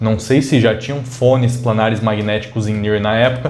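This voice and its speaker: A man is speaking with audible room echo. Music plays in the background. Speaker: tech reviewer. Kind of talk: product review. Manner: casual.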